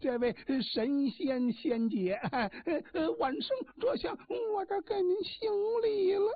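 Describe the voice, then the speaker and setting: In a put-on character voice, a woman speaks at an extremely high pitch with very wide swings, at a fairly slow pace. Long pauses come often. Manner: affected, oily, creepy.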